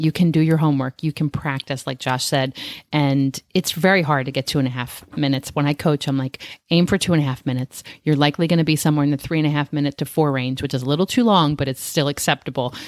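Very deep and low in pitch, a woman speaks at a very fast pace on a very clean recording with a silent background and a dry, close sound with no echo. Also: fairly even intonation. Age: 50s. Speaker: interview coach podcast co-host. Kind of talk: casual chat.

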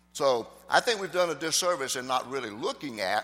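With lively intonation, a man talks at a fairly high pitch. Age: 60s. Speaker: pastor. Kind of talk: sermon. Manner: halting.

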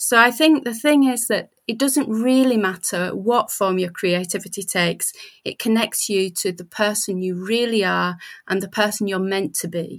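A woman with a British accent at medium pitch and moderate pace, ordinary pitch variation, on a very clean recording with a silent background. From Britain. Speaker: writer and writing coach. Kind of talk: casual chat.

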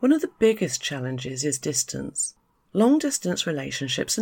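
The speaker is a woman with a British accent. The recording is very clean, with a silent background. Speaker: podcast host, expat life consultant. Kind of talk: solo podcast monologue.

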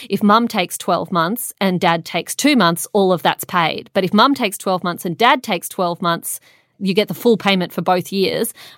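With a dry, close sound and no echo, a woman with an Australian accent speaks at a medium pitch. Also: ordinary pitch variation, moderate pace, very clean recording, silent background. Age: 30s. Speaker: journalist. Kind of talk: casual chat.

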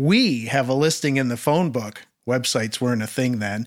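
A man with a Canadian accent talks at a moderate pace with ordinary pitch variation in a plain, everyday voice, recorded very cleanly against a silent background. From Prince Edward Island, Canada. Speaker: audio technician and author. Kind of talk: reading aloud.

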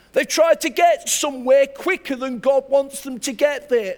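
A man speaks with an English accent. His pitch varies in an ordinary way. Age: 60s. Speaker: pastor. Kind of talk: sermon. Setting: church.

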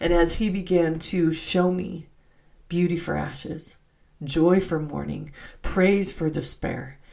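In a dark, mellow tone, a woman with a fairly low pitch speaks at a very slow pace with vocal fry and fairly even intonation, and room echo is audible. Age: 50s. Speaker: podcast host, religious teacher. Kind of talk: devotional scripture teaching monologue.

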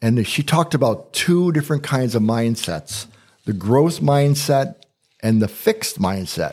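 A man's normal speaking voice with lively intonation, very even loudness and a moderate pace, in a very clean recording with a silent background. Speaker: podcast host and coach. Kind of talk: casual conversational podcast.

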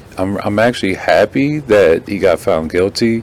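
A man speaks at a fairly slow pace with lively intonation. Noticeable background noise runs under his voice. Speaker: podcast host.

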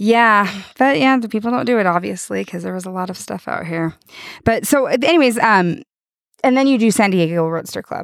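On a very clean recording with a silent background, a woman speaks at a fairly quick pace and medium pitch with lively intonation, a normal speaking voice. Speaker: podcast host. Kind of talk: casual interview. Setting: outdoors at salt flats.

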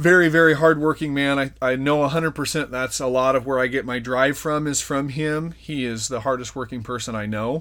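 This man has an ordinary speaking voice, a medium pitch and fairly even intonation. He talks at a fairly quick pace in a very clean recording with a silent background. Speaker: podcast host. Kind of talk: personal life story in casual chat.

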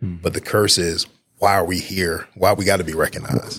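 A man speaks with an American accent. His voice sits very deep and low. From northern New Jersey (Newark). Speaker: school district recruiter. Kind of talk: interview.

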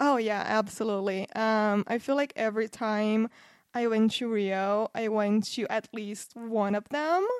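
Someone with a Portuguese accent speaks at a fairly slow pace with fairly even intonation, in a dry, close sound with no echo and a quiet background. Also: woman, fairly high pitch for a woman. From Brazil, Campinas near São Paulo. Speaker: podcast guest, Brazil travel expert. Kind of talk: casual chat.

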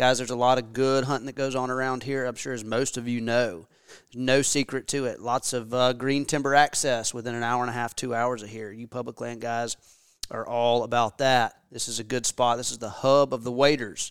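In a very clean recording with a silent background, a man with an American accent speaks at a fairly quick pace in a monotone, flat intonation. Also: medium pitch for a man. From US South, Memphis area. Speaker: podcast host, hunter. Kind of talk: podcast intro monologue.

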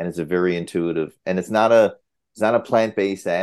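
A man talks at a fairly quick pace with a Newfoundland accent in a very deep, low pitch. His intonation is monotone and flat, against a quiet background. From Newfoundland, Canada. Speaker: cardiologist. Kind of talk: interview.

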